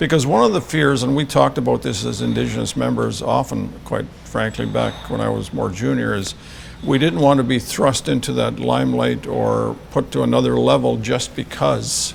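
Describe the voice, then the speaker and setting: A man keeps a moderate pace while noticeable background noise runs underneath. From northern Saskatchewan, Canada. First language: Cree. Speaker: retired police officer. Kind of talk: interview. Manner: halting.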